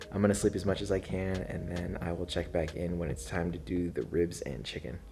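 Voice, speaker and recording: A man with a very deep, low pitch and vocal fry speaks with ordinary pitch variation. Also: fairly quick pace. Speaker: barbecue video creator. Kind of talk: tutorial vlog. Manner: hushed at night.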